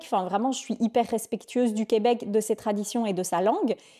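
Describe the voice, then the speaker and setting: On a very clean recording with a silent background, a woman with a dark, mellow tone and fairly high pitch speaks at a fairly quick pace. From Belgium. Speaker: vlogger. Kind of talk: casual chat.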